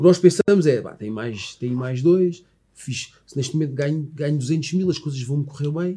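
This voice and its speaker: Somewhat breathy and dark, mellow in tone, a man speaks at a moderate pace and fairly high pitch, with ordinary pitch variation and big swings in loudness. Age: 40s. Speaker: former footballer, sports commentator. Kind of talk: casual interview.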